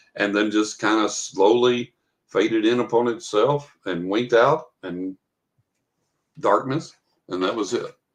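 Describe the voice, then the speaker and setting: Speaking with a West Texas accent, a man talks at a fairly slow pace. His speech has long, frequent pauses. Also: medium pitch for a man, ordinary pitch variation. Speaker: author. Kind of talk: storytelling in podcast interview.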